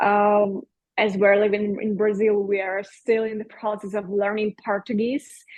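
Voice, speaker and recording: A woman speaks with a Russian accent at a medium pitch. Her pace is fairly slow and her intonation monotone and flat. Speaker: podcast guest, bereaved mother, yoga teacher. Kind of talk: interview, personal testimony. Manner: halting, with fillers.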